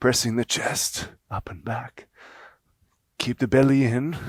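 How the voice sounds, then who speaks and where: Putting on a character voice, a man speaks at a fairly slow pace and medium pitch, sounding strained, with fairly even intonation and big swings in loudness. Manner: effortful, strained.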